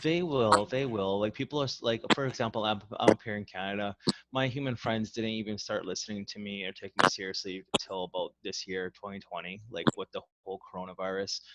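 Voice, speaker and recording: In a dry, close sound with no echo, a man with a plain, everyday voice talks at a fairly quick pace and fairly low pitch, with ordinary pitch variation and big swings in loudness. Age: 30s. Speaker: podcast host. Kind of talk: casual chat.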